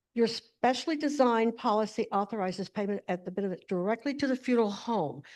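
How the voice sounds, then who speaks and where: Over a quiet background, a woman speaks very fast with hardly any pauses, her fairly high pitch showing ordinary variation. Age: 70s. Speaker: funeral planning professional. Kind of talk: presentation. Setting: video call.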